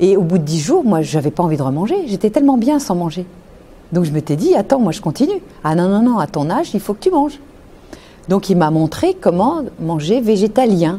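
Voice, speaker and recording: Somewhat breathy and dark, mellow in tone, a woman speaks at a moderate pace with very wide pitch swings. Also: medium pitch for a woman. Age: 60s. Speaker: nutritionist. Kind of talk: interview testimony.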